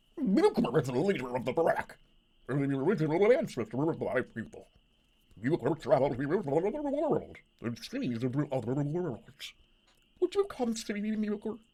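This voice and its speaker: Someone does a put-on character voice at a middle pitch and a moderate pace. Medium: game stream. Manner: halting, broken speech.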